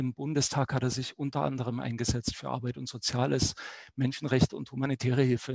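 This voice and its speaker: This is a man with a normal speaking voice at a medium pitch, talking at a moderate pace. The sound is dry with no echo, and the background is quiet. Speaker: newspaper journalist moderating a debate. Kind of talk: moderated political debate. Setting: online stream. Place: home room. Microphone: headset.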